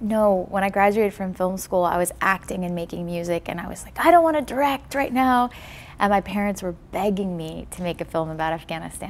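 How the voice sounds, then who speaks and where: A woman with a Californian accent at a fairly quick pace. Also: medium pitch for a woman, ordinary pitch variation. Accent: General American (California). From Los Angeles, US. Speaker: documentary filmmaker and musician. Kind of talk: interview.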